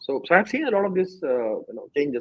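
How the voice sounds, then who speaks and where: Talking at a very fast pace, a man speaks with an Indian accent. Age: 30s. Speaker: startup co-founder. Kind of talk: interview. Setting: studio. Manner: sometimes fast.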